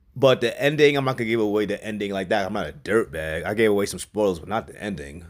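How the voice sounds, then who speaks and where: A man with a New York accent speaks in an animated tone at a fairly low pitch. The recording is very clean, with a silent background. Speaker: movie reviewer. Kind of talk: casual movie review. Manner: casual, animated.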